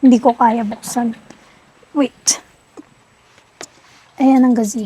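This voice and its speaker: A woman speaks very slowly in a fairly high voice. She is soft-spoken. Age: 20s. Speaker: vlogger. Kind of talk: vlog tour.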